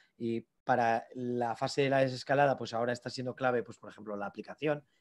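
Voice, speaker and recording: A man talks at a fairly quick pace. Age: 30s. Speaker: AI entrepreneur; invited lecturer. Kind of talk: lecture. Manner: halting. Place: office. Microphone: video call.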